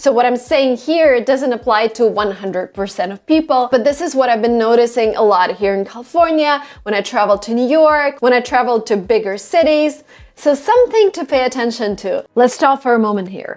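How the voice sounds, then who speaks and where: Speaking with a slight Russian accent at a high pitch, a woman moves at a moderate pace with hardly any pauses and ordinary pitch variation, in a very clean recording with a silent background. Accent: slight Russian accent, non-native. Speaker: English pronunciation YouTuber. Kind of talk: tutorial.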